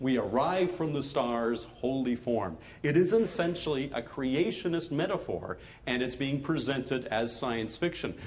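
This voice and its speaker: With lively intonation and a fairly high pitch, a man speaks at a moderate pace in a room with audible echo. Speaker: science fiction writer. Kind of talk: lecture.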